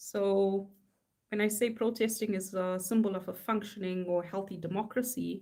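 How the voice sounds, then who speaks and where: A woman speaks at a medium pitch and a moderate pace. Her tone is dark and mellow, her intonation monotone and flat. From South Africa. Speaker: artist. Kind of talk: casual live-stream chat while drawing. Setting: live stream at home. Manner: casual, rambling with fillers.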